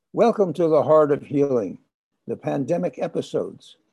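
At a fairly high pitch, a man talks at a moderate pace with lively intonation. His dark, mellow tone carries vocal fry. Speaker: podcast host. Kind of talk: interview. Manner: warm, gentle.

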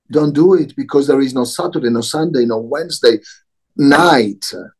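A man talks with an Italian accent. His pitch is fairly high. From Italy, Milan. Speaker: social enterprise CEO. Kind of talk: interview.

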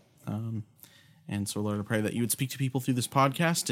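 Recorded very cleanly against a silent background, a man has a plain, everyday voice with a medium pitch and ordinary pitch variation. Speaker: podcast co-host. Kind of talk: casual chat about scripture.

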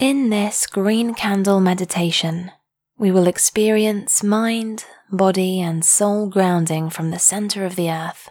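A woman talks in an ordinary speaking voice at a medium pitch. Her pace is fairly slow and her intonation fairly even. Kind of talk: guided meditation. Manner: slow, soothing, calm; gentle, hushed, with long pauses.

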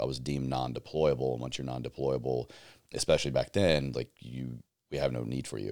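A man with an American accent and a very deep, low pitch. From US South, Southwest Virginia. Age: 30s. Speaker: podcast host and army veteran. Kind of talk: casual interview.

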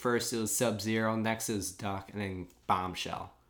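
A man with a normal speaking voice and a fairly low pitch speaks at a fairly slow pace with fairly even intonation. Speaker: podcast host. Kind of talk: casual chat, live reaction recap.

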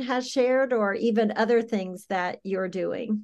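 A woman in an American accent at a fairly slow pace and medium pitch, an unremarkable speaking voice against a quiet background. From US South, South Carolina. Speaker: podcast host, nonprofit director. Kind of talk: interview conversation.

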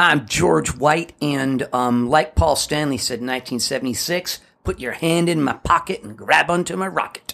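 A man speaks in a normal speaking voice, fairly high in pitch with lively intonation. His pace is fairly slow, yet there are hardly any pauses. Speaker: podcast co-host. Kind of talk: casual chat. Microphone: varies with distance, echo.

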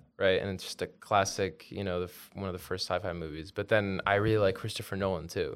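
A man talks at a very fast pace with hardly any pauses, his fairly low voice monotone and flat. The recording is very clean, with a silent background. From Belgium. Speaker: engineering intern. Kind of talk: casual interview.

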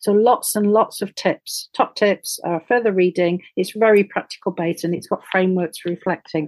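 At a moderate pace and with ordinary pitch variation, this voice has a dry, close sound with no echo. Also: woman, medium pitch for a woman. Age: 60s. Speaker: professor. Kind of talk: interview.

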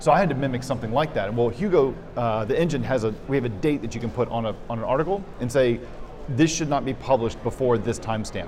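Noticeable background noise runs under this recording of a man. He talks at a very fast pace with a medium pitch and ordinary pitch variation. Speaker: developer. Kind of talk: casual interview. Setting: in person at a conference.

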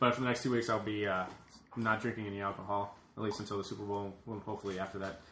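A man with a fairly low voice talks at a very fast pace in a monotone, flat delivery. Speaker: podcast host. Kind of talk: casual banter podcast.

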